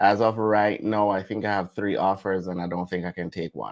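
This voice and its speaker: With a Jamaican accent, a man speaks at a moderate pace in a fairly low pitch and fairly even intonation. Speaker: travel vlogger. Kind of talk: live stream chat.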